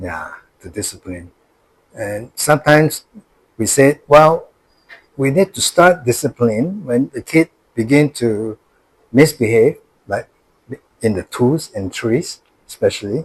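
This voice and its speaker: A man at medium pitch speaks at a fairly slow pace in a somewhat breathy voice, with very wide pitch swings, big swings in loudness, and long, frequent pauses, in a dry, close sound with no echo. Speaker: grandfather. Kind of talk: interview answer.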